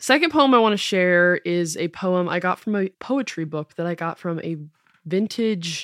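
The speaker has an unremarkable speaking voice with an American accent, talking at a fairly slow pace with lively intonation, on a very clean recording with a silent background and a dry, close sound with no echo. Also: woman. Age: 20s. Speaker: podcast host. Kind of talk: casual monologue.

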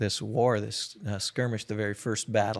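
Here a man talks with a Minnesota accent. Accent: Minnesotan American. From US Midwest, Minnesota. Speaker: missionary and prayer movement founder. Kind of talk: casual interview.

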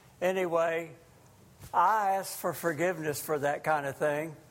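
There is audible room echo as a man with a high pitch speaks at a fairly slow pace with fairly even intonation. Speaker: lay preacher. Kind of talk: sermon. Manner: loud.

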